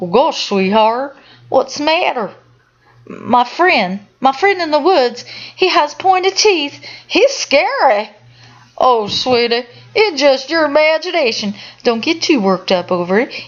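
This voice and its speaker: A woman with a Southern US accent, high-pitched, at a fairly slow pace, with very wide pitch swings. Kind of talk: horror story reading.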